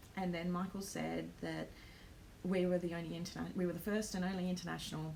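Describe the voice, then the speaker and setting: A woman with an Australian accent talking very fast, with audible room echo and noticeable background noise. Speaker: planner vlogger and small business owner. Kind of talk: live stream vlog. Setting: home live stream. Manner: hesitant, many ums.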